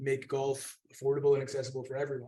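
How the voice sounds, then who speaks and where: A man is speaking. He has a Scottish accent. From Scotland, North Berwick. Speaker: golf course architect. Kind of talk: panel discussion. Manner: fast.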